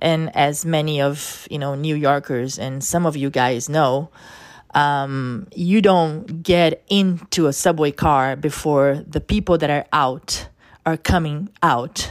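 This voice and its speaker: With a Portuguese accent, a woman speaks very slowly in a very deep, low voice with ordinary pitch variation. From Brazil. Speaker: podcast host. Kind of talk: personal testimony. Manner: halting, many fillers.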